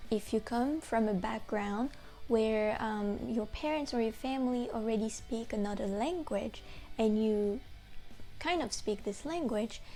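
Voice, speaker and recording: With music in the background, a woman speaks at a fairly slow pace. Her fairly high pitch shows ordinary variation. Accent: French. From France. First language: French. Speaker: French language teacher. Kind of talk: educational talk to camera. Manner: casual, conversational.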